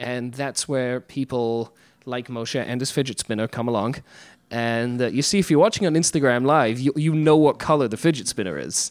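Moderately paced speech in an English accent, a very clean recording with a silent background. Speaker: podcast host. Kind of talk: casual chat. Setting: Brooklyn, recorded live on Instagram.

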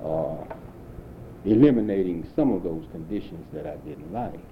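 Audible room echo carries a man's very deep, low voice as he speaks fairly slowly with an American accent. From St. Louis, Missouri. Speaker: war veteran. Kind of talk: 1990s oral history interview, elderly veteran recounting wartime life story. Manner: plain reflective storytelling.

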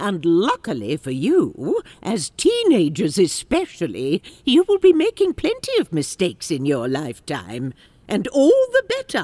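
A woman at medium pitch speaks at a moderate pace, the sound dry and close with no echo. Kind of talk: audio drama acting. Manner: measured, wise, stern but cheeky.

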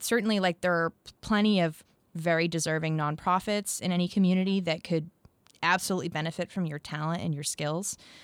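A woman with a fairly low pitch talks at a very fast pace with ordinary pitch variation, on a very clean recording with a silent background. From US Northeast, near Boston. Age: 30s. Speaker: financial blogger and marketer. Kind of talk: interview. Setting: studio.

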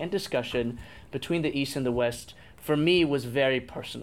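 Here a man with an American accent speaks at medium pitch with ordinary pitch variation. The recording is very clean, with a silent background. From Auckland, New Zealand and New Jersey, US. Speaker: news executive. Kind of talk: public Q&A discussion.

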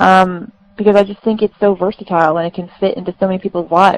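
A woman speaks in an American accent. Her pace is moderate. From Florida. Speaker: army officer and foundation founder. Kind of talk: interview.

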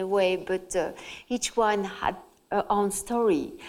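A woman with a French accent talks at a fairly slow pace, her fairly high voice showing ordinary pitch variation. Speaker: journalist and author. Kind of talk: public talk interview. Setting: stage with audience.

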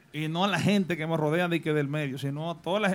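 A man with a high pitch, talking at a very fast pace. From Dominican Republic, Salcedo. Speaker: radio DJ. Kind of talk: casual chat. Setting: studio.

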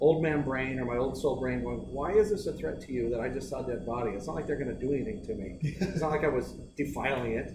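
A man talks at a very fast pace with an American accent and lively intonation. Audible room echo colors the sound. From eastern Oregon, US Northwest. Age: 40s. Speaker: business co-founder and mentor. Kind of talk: casual chat.

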